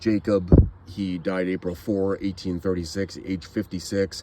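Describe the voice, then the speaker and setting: A man speaks with a Maine accent in a very deep, low voice. His tone is dark and mellow. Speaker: genealogy and cemetery vlogger. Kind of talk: casual walking vlog. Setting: outdoors in a cemetery.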